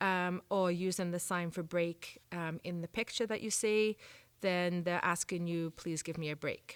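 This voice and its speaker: On a very clean recording with a silent background, a woman talks at a medium pitch and moderate pace with ordinary pitch variation, the sound dry and close with no echo. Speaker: volunteer trainer. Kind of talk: training presentation. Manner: frequent filler ums.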